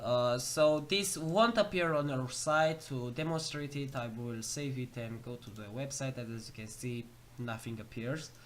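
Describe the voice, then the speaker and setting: Spoken with a non-native accent, the words come at a fairly slow pace with hardly any pauses. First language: not English. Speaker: programming tutorial youtuber. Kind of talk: tutorial. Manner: halting, many fillers.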